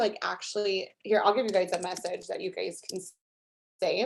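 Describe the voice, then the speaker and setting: This woman speaks. Her pace is fairly quick. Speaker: network marketing distributor. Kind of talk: guest talk on video call. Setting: video call. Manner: fast.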